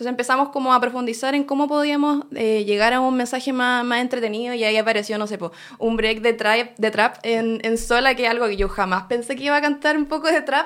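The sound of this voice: At a fast pace with few pauses, a woman speaks in a fairly high pitch and fairly bright tone, her intonation fairly even.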